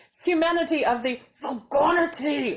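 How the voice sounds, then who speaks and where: This is a put-on character voice with a high pitch. The pace is moderate. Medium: read story.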